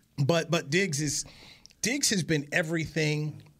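This man's voice sits at a fairly high pitch. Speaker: podcast co-host and former player. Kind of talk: sports talk show banter and commentary. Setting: studio. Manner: animated, casual, conversational.

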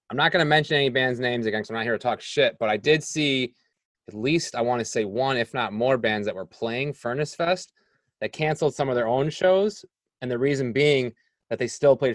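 Recorded dry and close with no echo, a man with an American accent talks at a fairly quick pace and medium pitch, with ordinary pitch variation and a plain, everyday voice. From Rochester area, New York. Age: 40s. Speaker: podcast host. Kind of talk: casual interview chat.

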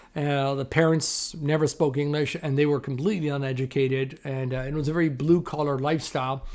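Speaking at a fairly quick pace, a man with a Canadian accent uses a fairly high pitch and a monotone, flat intonation. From Toronto, Canada. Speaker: film stand-in and actor. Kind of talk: interview. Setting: video call. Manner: loud.

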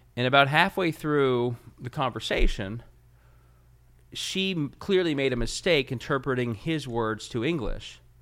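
A man with an American accent and a plain, everyday voice speaks at a fairly slow pace, his fairly high pitch showing ordinary variation, in a very clean recording with a silent background. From Ohio, Cincinnati. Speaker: state party chairman. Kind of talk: interview.

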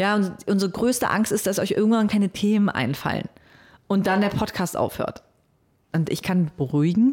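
A woman speaks at a moderate pace in a plain, everyday voice, medium-pitched with ordinary pitch variation. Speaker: radio program director and podcaster. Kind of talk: interview. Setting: studio.

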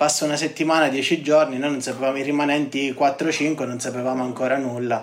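Speaking in a monotone, flat intonation, a man with a fairly high pitch keeps up a fairly quick pace. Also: hardly any pauses. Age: 20s. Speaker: construction engineer. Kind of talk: interview testimony. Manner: halting, with frequent word repetitions.

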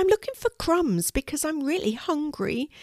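A squeaky, put-on character voice moves at a moderate pace. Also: female-sounding voice, high pitch for a woman. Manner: timid.

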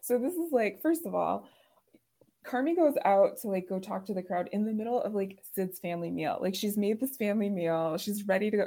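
A woman speaks at a fairly quick pace with an American accent. Her tone is dark and mellow, and her intonation is lively. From Chicago suburbs. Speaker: podcast host. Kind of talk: casual chat.

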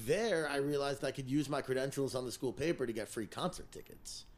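Hardly pausing, a man with an American accent and a plain, everyday voice talks at a fairly high pitch with ordinary pitch variation. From New Jersey, Teaneck (New York City area). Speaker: music manager and show promoter. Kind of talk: casual chat.

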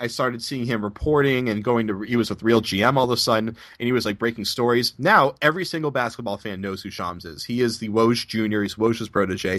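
In a plain, everyday voice, a man with an American accent talks at medium pitch and a fairly quick pace, with ordinary pitch variation and hardly any pauses. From Boston area, US. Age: 20s. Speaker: basketball reporter. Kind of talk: interview.

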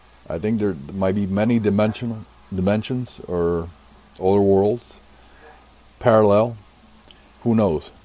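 A man speaks at a fairly slow pace and a fairly low pitch, with fairly even intonation. Long pauses come often. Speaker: humanoid encounter researcher. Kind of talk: casual roundtable discussion.

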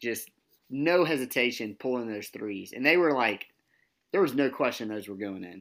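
In a very clean recording with a silent background, a man with an ordinary speaking voice and medium pitch talks at a moderate pace, his intonation lively and his loudness swinging widely. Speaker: podcast co-host. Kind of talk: casual sports podcast chat.

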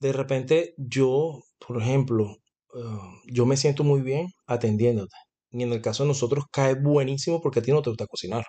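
A somewhat breathy male voice, medium-pitched and dark and mellow in tone, with ordinary pitch variation and a moderate pace. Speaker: podcast co-host, salesman. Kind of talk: casual chat. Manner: talkative.

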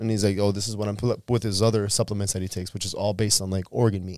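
A normal speaking voice with fairly even intonation comes through in a dry, close sound with no echo, on a very clean recording with a silent background. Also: man. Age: 30s. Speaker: podcast host. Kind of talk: casual chat. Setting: studio.

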